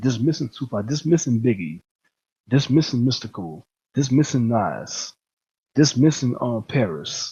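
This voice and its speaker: A man at a medium pitch sounds somewhat breathy and varies his pitch in an ordinary way. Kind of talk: casual talk to camera. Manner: emphatic, repetitive.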